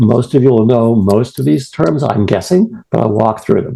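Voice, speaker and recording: In a Boston accent, a man speaks with lively intonation, vocal fry and a dark, mellow tone. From New England, US. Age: old. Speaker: retired professor and prostate cancer patient. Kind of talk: presentation. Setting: video call. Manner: fast.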